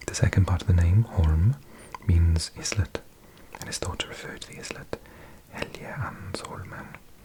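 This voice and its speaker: A whispering man with big swings in loudness and long, frequent pauses. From South Wales. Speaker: ASMR creator. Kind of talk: ASMR reading of encyclopedia article as sleep aid. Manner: soft-spoken or whispered, slow.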